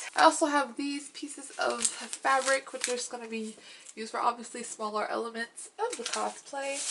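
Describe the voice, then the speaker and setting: At a moderate pace, a woman speaks in a high pitch with ordinary pitch variation, and background noise is noticeable. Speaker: cosplayer. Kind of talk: tutorial. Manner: casual, hesitant with ums.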